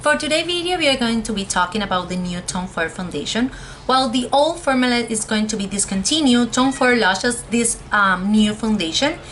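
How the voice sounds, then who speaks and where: Lively intonation drives this fairly quick speech with hardly any pauses, over noticeable background noise. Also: woman, fairly high pitch for a woman. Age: 20s. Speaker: cosmetologist, beauty reviewer. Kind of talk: casual talk to camera, product review.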